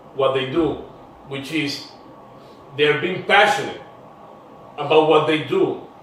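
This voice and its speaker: Speech at a very slow pace comes through audible room echo and noticeable background noise. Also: man. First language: Spanish. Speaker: podcast host. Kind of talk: interview show. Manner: animated.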